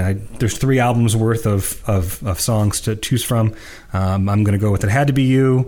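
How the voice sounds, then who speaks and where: Here a man speaks in a normal speaking voice. His pace is moderate, with ordinary pitch variation. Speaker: podcast co-host. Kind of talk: casual discussion of music.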